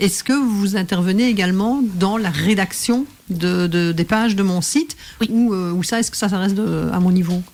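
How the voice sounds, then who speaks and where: A woman talks at a medium pitch with ordinary pitch variation, and noticeable background noise is present. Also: moderate pace. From Belgium. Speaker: professional coach and radio host. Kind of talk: radio interview host.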